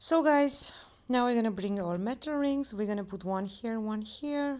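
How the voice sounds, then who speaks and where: At a moderate pace, a woman with a non-native accent speaks in a dark, mellow tone. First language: not English. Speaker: crochet tutorial maker. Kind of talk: tutorial.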